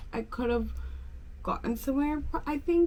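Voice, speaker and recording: A woman speaks with an American accent. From Pennsylvania, US. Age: 20s. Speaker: lifestyle vlogger. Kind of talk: casual get-ready-with-me vlog chat. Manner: chatty, filler-heavy.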